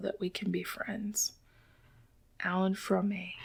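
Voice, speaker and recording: Soft-spoken and relaxed in tone, a woman speaks at a moderate pace. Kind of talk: ASMR soft-spoken book reading. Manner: soft-spoken, relaxed.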